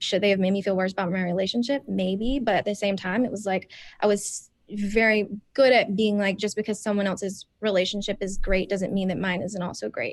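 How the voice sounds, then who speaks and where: Soft-spoken and medium-pitched, a woman with an American accent talks fairly quickly with fairly even intonation. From US South, South Carolina. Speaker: reality TV contestant. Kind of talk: podcast interview.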